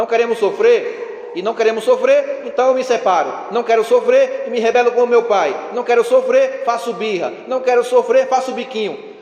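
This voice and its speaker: Noticeable background noise around a man talking at a moderate pace. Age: 40s. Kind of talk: sermon. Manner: animated.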